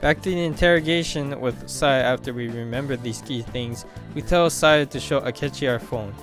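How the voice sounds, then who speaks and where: Music plays in the background. A man talks at a medium pitch with ordinary pitch variation. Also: moderate pace. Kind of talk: game story explanation narration. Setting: home mic with occasional glitch noise. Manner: stuttering, reading off a script.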